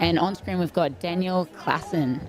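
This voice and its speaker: A woman with an Australian accent speaks at a fairly low pitch with ordinary pitch variation over noticeable background noise. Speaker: live race commentator. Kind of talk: live commentary. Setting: outdoors at race aid station.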